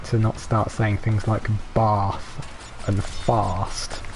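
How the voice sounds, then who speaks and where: Noticeable background noise sits behind a man whose fairly low voice is monotone and flat. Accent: strong northern English. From northern England. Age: 20s. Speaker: gaming streamer. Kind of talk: casual chat. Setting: live stream. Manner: hesitant, many fillers.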